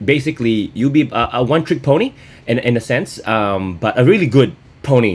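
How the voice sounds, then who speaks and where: Lively intonation marks this man's speech. His pitch is medium. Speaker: gaming commentator. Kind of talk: gameplay commentary. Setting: at home. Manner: hesitant, many fillers; louder than usual.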